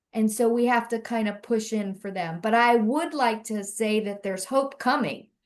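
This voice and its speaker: A normal speaking voice from a fairly high-pitched woman with an American accent, at a moderate pace with ordinary pitch variation and hardly any pauses, over a quiet background. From Central Florida. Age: 60s. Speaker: mental health advocate. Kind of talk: panel discussion.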